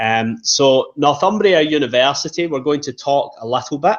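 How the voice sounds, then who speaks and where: A man speaks with a strong Scottish accent. His pace is moderate. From Scotland. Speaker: university representative. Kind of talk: presentation. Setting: online webinar.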